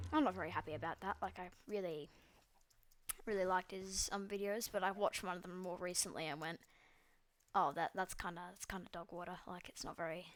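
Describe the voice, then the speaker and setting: In an Australian accent, the speaker keeps a moderate pace and fairly even intonation. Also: woman. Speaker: gaming YouTuber. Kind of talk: gameplay commentary. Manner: hesitant, many fillers.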